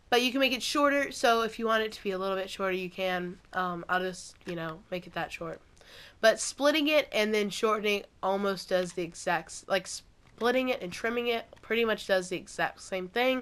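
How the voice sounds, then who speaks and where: Heard on a very clean recording with a silent background, a woman speaks at a moderate pace and medium pitch, with ordinary pitch variation and big swings in loudness. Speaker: gaming YouTuber. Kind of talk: tutorial.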